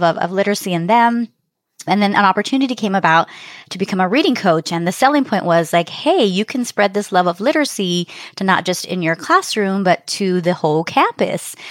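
In an American accent, a woman at medium pitch talks at a very fast pace with ordinary pitch variation, in a dry, close sound with no echo on a very clean recording with a silent background. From South Texas, Rio Grande Valley. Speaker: elementary school principal. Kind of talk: interview.

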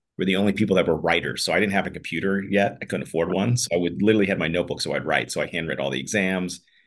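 A man with an American accent talks at a very fast pace in a very deep, low pitch, with vocal fry and ordinary pitch variation. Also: quiet background. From US, Pittsburgh. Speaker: trial lawyer and company founder. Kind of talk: podcast interview. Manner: casual, conversational with fillers.

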